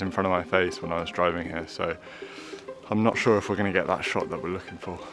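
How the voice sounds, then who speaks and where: A man speaks with a fairly low pitch. Music plays in the background. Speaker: photography vlogger. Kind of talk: casual vlog narration. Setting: outdoors. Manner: quiet, subdued.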